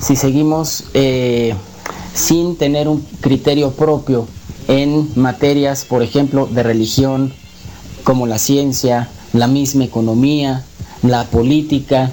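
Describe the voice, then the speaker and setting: A man at a very slow pace and medium pitch, fairly even intonation, with noticeable background noise. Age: 30s. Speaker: conspiracy talk guest. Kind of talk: radio interview. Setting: radio broadcast.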